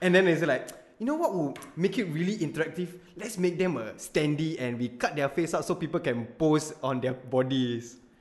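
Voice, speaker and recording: With a Singaporean accent, a man speaks in a fairly high pitch with lively intonation. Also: moderate pace. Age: 20s. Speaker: content creator. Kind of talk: casual chat. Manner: loud. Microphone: new Audio-Technica mic.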